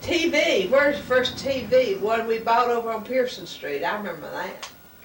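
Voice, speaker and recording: A high-pitched woman talks at a moderate pace with a Southern US accent and lively intonation, over noticeable background noise and audible room echo. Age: 60s. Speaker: family member. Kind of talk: family conversation.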